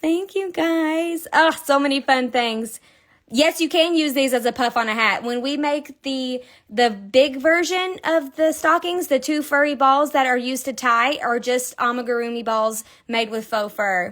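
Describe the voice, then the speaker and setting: Animated in tone, a woman speaks fairly slowly at a high pitch with ordinary pitch variation. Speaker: crochet designer. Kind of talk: live-stream crochet tutorial. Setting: Instagram live stream.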